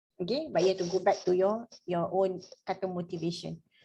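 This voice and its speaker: This woman's tone is dark and mellow. Her voice is somewhat breathy. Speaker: motivational trainer. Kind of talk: online workshop discussion.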